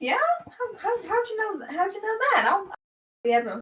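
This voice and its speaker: A squeaky, put-on character voice at an extremely high pitch. The pitch swings very widely. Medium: actual play. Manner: casual, slangy, blunt.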